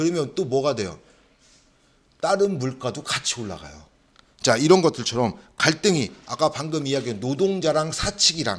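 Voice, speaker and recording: A man's animated, fairly high voice with vocal fry, lively intonation and long, frequent pauses on a very clean recording with a silent background. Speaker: social welfare exam lecturer. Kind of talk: lecture. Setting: classroom. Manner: fast; animated, rhetorical questions.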